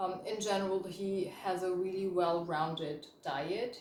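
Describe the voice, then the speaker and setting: There's audible room echo around this woman, whose pitch sits fairly low. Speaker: chemist and health coach. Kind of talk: educational vlog. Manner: casual, with fillers.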